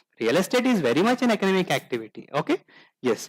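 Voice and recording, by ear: A man talks at a fairly quick pace with a fairly high pitch. His intonation is lively.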